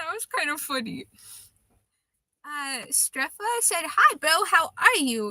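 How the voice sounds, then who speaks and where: A woman with a high, bright, sharp voice projects loudly at a fairly slow pace, her pitch swinging very widely and her loudness shifting greatly, with long, frequent pauses in a dry, close recording with no echo. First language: Russian. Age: 20s. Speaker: livestreamer, tarot card reader. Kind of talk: casual live stream chat. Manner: hesitant, with fillers and restarts.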